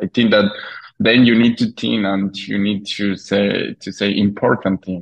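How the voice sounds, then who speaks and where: A man with a non-native accent talks at a fairly slow pace. His pitch is fairly low and his intonation is monotone and flat. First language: Spanish. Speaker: filmmaker. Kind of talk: interview. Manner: halting.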